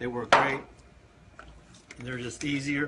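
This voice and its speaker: With an American accent, a man talks as noticeable background noise carries on behind him. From Eastern Shore of Maryland. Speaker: barbecue cooking show host. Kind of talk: live-stream cooking tutorial. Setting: Facebook live stream. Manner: casual, many fillers.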